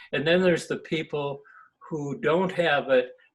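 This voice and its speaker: Speaking at a fairly slow pace, a man with a somewhat breathy voice shows ordinary pitch variation. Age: 70s. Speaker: emeritus professor of environmental engineering.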